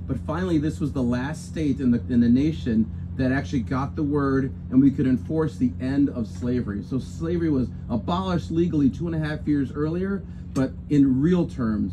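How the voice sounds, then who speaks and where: Male speech, moderately paced, with noticeable noise behind it. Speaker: official host. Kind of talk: public speech. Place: street. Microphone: camera far.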